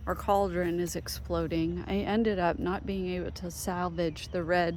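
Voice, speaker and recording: A soft-spoken woman talks at a moderate pace with audible room echo. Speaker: home gardener. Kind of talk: casual garden tour walkthrough. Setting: outdoors in garden. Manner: soft-spoken, talking quietly.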